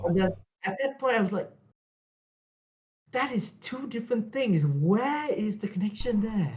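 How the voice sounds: Speaking at a fairly slow pace, a man uses a high-pitched voice with a slightly mellow tone. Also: lively intonation.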